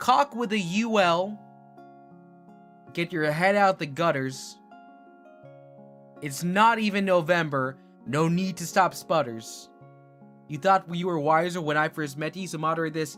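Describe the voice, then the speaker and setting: Music plays in the background as a man speaks with long, frequent pauses. His voice is high, with ordinary pitch variation. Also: fairly slow pace. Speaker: VTuber streamer. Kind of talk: improvised rhyming chat. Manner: soft, sleep-aid style.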